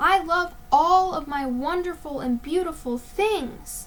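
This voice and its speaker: A woman uses a put-on character voice with an extremely high pitch. She talks at a fairly slow pace over clear background noise. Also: ordinary pitch variation. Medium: read story. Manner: whiny, dramatic.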